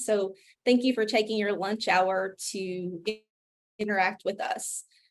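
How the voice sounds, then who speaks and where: A woman with an Appalachian accent speaks at a moderate pace in a monotone, flat intonation. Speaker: physician pharmacist, health policy director. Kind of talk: virtual forum presentation. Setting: video call.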